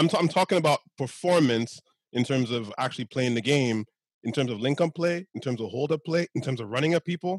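A man's fairly high-pitched, fairly quick speech in an ordinary speaking voice, with lively intonation and a dry, close sound with no echo. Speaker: football podcast panelist. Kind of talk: casual football chat.

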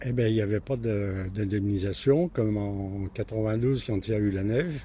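A man speaks at a fairly slow pace in a fairly low pitch with ordinary pitch variation. His tone is dark and mellow and somewhat breathy. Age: 80s+. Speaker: retired market gardener. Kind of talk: interview. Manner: halting.

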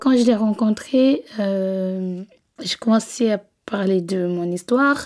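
At a very slow pace, a woman speaks, her pitch varying in an ordinary way. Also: medium pitch for a woman. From West Africa. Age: 20s. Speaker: domestic abuse survivor. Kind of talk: personal testimony. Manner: halting, with filler hesitations.

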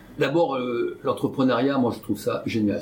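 A man speaks in a somewhat breathy voice. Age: 60s. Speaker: entrepreneur and business investor. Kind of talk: interview. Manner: halting, many hesitations.

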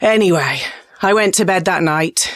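An English accent comes through. It belongs to a woman. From England. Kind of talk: comedic monologue.

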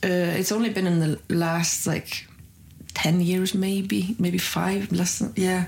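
Her voice somewhat breathy, a woman speaks at a very slow pace with a medium pitch and fairly even intonation. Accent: Icelandic. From northern Iceland. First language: Icelandic. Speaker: comedian. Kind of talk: casual chat. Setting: green room backstage at comedy club.

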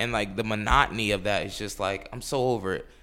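Delivered very fast in a New York accent, the voice has a bright, sharp tone. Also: man. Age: 20s. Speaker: attorney and podcast co-host. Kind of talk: casual chat. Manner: fast, filler-heavy speech.

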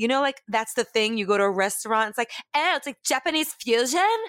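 A woman speaks in a New York accent, with a dry, close sound and no echo. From New York, Brooklyn. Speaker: comedian and voice actor. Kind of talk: casual chat. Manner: animated; loud.

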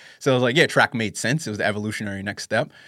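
A medium-pitched man with a New York accent, dry and close with no echo, on a very clean recording with a silent background. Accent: New York American. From New York City. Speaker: running podcast host. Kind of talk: casual interview chat.

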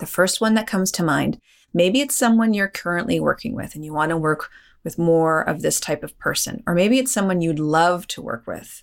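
Over a silent background in a very clean recording, a woman with a normal speaking voice talks at a moderate pace, her fairly low pitch carried by lively intonation. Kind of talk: guided meditation.

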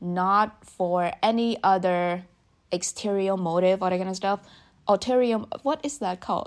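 In a very clean recording with a silent background, a woman with a plain, everyday voice speaks at medium pitch and a moderate pace. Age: 20s. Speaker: podcast host and youtuber. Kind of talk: solo monologue, casual advice talk.

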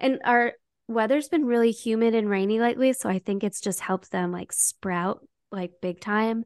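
This woman has an unremarkable speaking voice, fairly high in pitch, with ordinary pitch variation. She goes at a moderate pace, and the sound is dry and close with no echo over a quiet background. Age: 30s. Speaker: podcast co-host. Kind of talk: casual chat. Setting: remote call.

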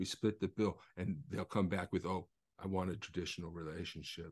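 A man talks at a moderate pace in an unremarkable speaking voice. His pitch varies in an ordinary way, and the background is quiet. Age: 50s. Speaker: author, attorney and activist. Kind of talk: casual chat.

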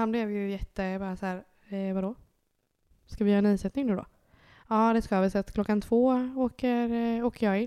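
Very clean recording with a silent background of a woman's fairly high, dark, mellow voice, fairly quick with fairly even intonation. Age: 20s. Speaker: mother sharing IVF experience. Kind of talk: casual interview.

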